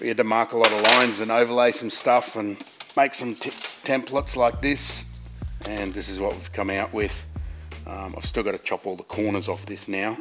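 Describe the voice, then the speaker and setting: Clear music plays in the background while a man speaks at a moderate pace. His fairly low voice has ordinary pitch variation and big swings in loudness. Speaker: presenter. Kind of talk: tutorial. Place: workshop.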